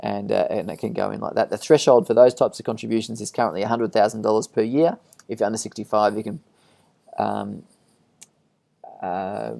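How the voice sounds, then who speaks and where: Big swings in loudness mark this man's fairly quick delivery. He speaks with an Australian accent and takes long, frequent pauses. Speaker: financial adviser. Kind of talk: webinar presentation with Q&A. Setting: online webinar. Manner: monotone; halting, many fillers.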